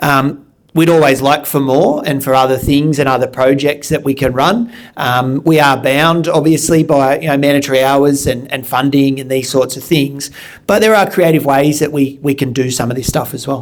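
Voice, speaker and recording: Moderate pace in an Australian accent. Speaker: school principal. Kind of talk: panel discussion. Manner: loud.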